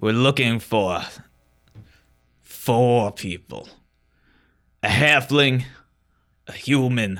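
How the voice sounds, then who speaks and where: On a very clean recording with a silent background, a man in a put-on character voice of medium pitch talks at a very slow pace with long, frequent pauses. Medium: actual play. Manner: curt, bossy.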